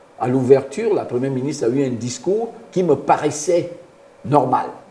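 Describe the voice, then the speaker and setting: Against noticeable background noise, a man speaks at a fairly high pitch with lively intonation and a moderate pace. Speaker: former international footballer and youth football coach. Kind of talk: radio interview. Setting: radio studio. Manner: halting, repeats words.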